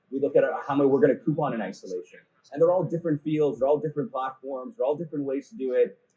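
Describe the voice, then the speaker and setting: A man with a fairly high pitch and a dark, mellow tone talks very fast, somewhat breathy, with lively intonation. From Canada, Toronto. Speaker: e-commerce conference speaker. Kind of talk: conference talk. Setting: stage with audience.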